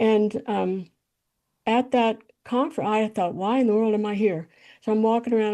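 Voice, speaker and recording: A woman with an American accent speaks in a fairly high pitch and a dark, mellow tone. Her intonation is fairly even, and the background is quiet. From US South, Tennessee Appalachians. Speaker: composer. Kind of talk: interview, life story. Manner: halting, many fillers and repeats.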